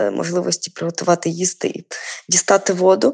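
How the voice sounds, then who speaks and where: The woman's voice comes across with a dry, close sound and no echo. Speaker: poet and editor. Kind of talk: interview.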